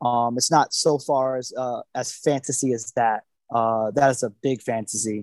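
An American-accented man with an unremarkable speaking voice talks at a moderate pace and medium pitch, his intonation fairly even and the sound dry and close with no echo. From Florida (Naples). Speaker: chef. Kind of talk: casual chat.

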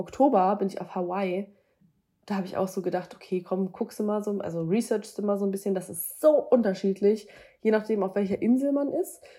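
A woman's dark, mellow tone at a fairly quick pace, with ordinary pitch variation. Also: medium pitch for a woman. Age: 20s. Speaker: wedding and boudoir photographer. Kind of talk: interview.

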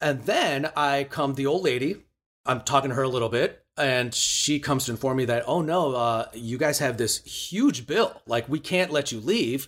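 A man speaks in a Chicago accent. His pace is moderate. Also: fairly high pitch for a man, ordinary pitch variation. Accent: Chicago American. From US Midwest, Chicago. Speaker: musician and cooking show host. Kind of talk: storytelling interview.

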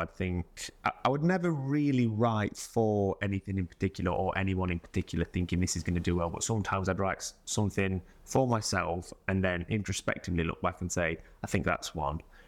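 With an East Midlands accent, a man with a very deep, low pitch and ordinary pitch variation talks at a fairly quick pace on a very clean recording with a silent background. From Mansfield, English East Midlands. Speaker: musician. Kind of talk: casual interview.

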